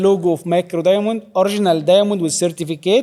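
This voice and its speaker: A man with an Arabic accent speaks at a fairly quick pace. His high pitch carries a dark, mellow tone. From Egypt. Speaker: fashion house director. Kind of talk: panel interview.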